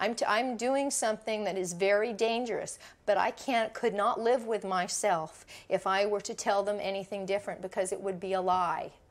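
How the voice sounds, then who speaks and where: A woman with an American accent talks at a moderate pace and a medium pitch. She has a plain, everyday voice with fairly even intonation. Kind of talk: documentary interview. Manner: argumentative.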